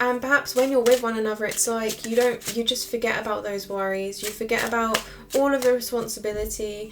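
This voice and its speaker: Music plays behind a woman with a fairly high pitch. She talks at a fairly quick pace with fairly even intonation. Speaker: tarot reader. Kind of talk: tarot reading monologue. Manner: fast.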